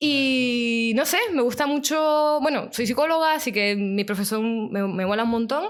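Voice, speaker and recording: A woman with a Canarian accent speaks at a high pitch with lively intonation. Her loudness stays very even, and she hardly pauses. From Canary Islands (Tenerife). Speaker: psychologist and podcaster. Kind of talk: casual interview chat.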